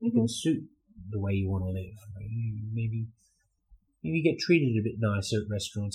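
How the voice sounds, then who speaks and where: A man in an Australian accent, medium in pitch, with a dark, mellow tone and a somewhat breathy quality. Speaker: guest, expat YouTuber.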